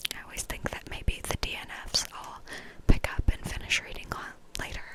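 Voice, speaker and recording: A woman whispers at a fairly quick pace in a relaxed tone. Noticeable background noise sits behind her. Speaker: ASMR creator. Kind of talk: ASMR book review ramble to camera. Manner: whispered, relaxed.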